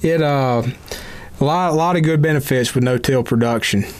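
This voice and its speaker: Amid noticeable background noise, a man with a Mississippi accent speaks at a medium pitch and a moderate pace. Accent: US South, Mississippi. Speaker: extension entomologist, podcast host. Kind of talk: casual interview chat.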